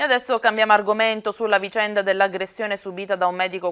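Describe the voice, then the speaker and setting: A woman speaks at a very fast pace with monotone, flat intonation. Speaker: local TV news presenter and street reporter. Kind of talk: news reading.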